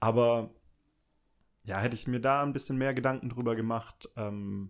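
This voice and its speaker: The speech moves at a moderate pace with fairly even intonation, captured in a very clean recording with a silent background. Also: man. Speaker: former classmate, office professional. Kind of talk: casual chat.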